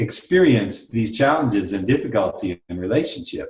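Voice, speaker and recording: A man's medium-pitched, somewhat breathy voice with an American accent. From US. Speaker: workshop leader. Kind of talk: interview.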